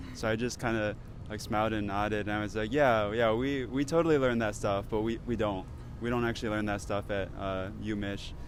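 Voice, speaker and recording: This man has an American accent and a fairly low pitch, talking at a fairly quick pace. His intonation stays fairly even, with audible echo from the room. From US. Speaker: pharmacy student. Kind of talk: street interview.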